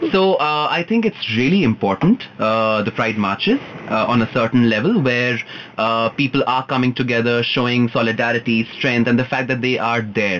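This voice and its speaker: A man at a moderate pace, with very even loudness, ordinary pitch variation and noticeable background noise. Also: medium pitch for a man. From India, Punjabi family. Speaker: guest on LGBTQ talk show. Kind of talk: casual chat.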